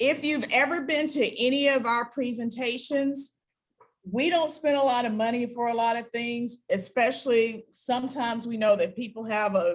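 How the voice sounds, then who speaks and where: A woman speaks at a moderate pace and fairly high pitch, with ordinary pitch variation. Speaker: health science educator. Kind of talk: webinar presentation. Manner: loud.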